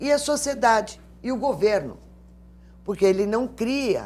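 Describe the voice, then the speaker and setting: A woman's vocal fry at a fairly slow pace. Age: 60s. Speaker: lawyer and elder-rights advocate. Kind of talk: TV interview.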